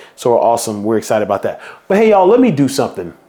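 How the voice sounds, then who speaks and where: A man speaks with an American accent. Noticeable background noise runs behind him. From Houston, Texas. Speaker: event founder and organizer. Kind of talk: guided visualization; promotional vlog. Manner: animated; fast.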